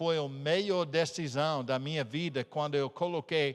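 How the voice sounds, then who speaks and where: A fairly high-pitched man with an American accent, speaking at a fairly slow pace. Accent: non-native Portuguese, American. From United States. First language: English (speaking Portuguese). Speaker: missionary pastor. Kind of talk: sermon. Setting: church. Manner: halting.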